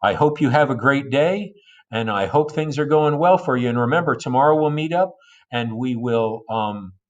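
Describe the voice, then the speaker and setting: Against a quiet background, a man with an unremarkable speaking voice and a fairly high pitch talks at a moderate pace with ordinary pitch variation. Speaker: high school history teacher. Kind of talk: recorded lecture notes for students. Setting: recorded video lesson for asynchronous class.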